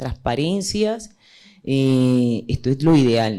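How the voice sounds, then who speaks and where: Lively in intonation, a woman speaks with a dark, mellow tone. Her pace is very slow. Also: very clean recording, silent background. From Colombian Caribbean. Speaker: journalist and panel moderator. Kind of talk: panel discussion. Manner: hesitant, many fillers.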